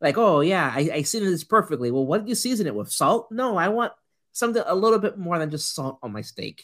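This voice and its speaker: Recorded very cleanly against a silent background, the voice carries a Puerto Rican accent. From Puerto Rico. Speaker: podcast co-host. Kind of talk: casual chat.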